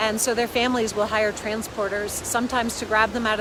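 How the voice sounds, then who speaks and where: A woman's fairly quick, monotone, flat-toned speech against noticeable background noise. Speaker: parenting coach. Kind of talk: casual vlog talk. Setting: outdoors by a river. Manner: loud.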